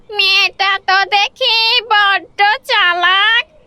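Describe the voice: A female-sounding cartoonish character voice rings out at an extremely high pitch.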